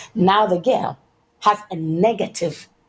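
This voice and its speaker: A woman's fairly low, somewhat breathy voice at a very slow pace, with ordinary pitch variation. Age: 60s. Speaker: political and social activist. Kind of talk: interview testimony.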